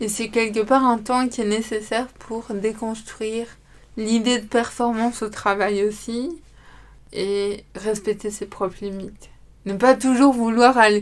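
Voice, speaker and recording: Very slowly, a woman with a fairly high pitch speaks in a monotone, flat intonation on a very clean recording with a silent background. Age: 20s. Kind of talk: testimony. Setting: studio.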